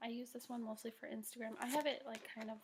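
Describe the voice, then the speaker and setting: Soft-spoken, with fairly even intonation, the voice moves at a fairly quick pace over noticeable background noise. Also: woman. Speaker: network marketing team leader. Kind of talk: tutorial. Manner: soft-spoken, talking quietly; casual, filler-heavy.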